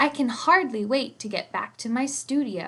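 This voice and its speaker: Speaking at a moderate pace, a woman performs a put-on character voice at a high pitch. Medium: read story.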